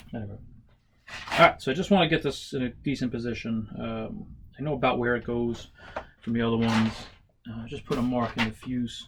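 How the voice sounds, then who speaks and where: A man speaks at a moderate pace in a medium pitch. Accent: American. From New York. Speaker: model aircraft builder and stunt flyer. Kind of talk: casual workshop tutorial and storytelling. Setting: workshop. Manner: casual, with many fillers.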